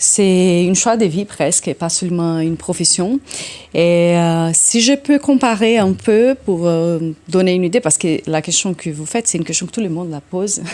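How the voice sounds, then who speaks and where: With a Brazilian accent, a woman speaks at a moderate pace in a fairly low pitch, her tone dark and mellow and her intonation lively. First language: Portuguese (speaking French). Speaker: orchestra conductor. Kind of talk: interview. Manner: halting.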